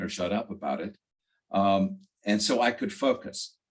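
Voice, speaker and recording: Here a man is speaking. He has a North Carolina accent. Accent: Southern US (North Carolina). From US South, northwestern North Carolina. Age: 70s. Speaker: author, retired attorney. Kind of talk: interview. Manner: halting, many fillers and repeats.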